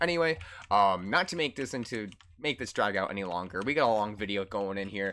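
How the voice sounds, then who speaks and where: Loud and energetic, a man talks at a fairly quick pace with very wide pitch swings on a very clean recording with a silent background. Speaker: esports coach. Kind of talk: gameplay review tutorial. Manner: loud and hyper; energetic, hesitant fillers.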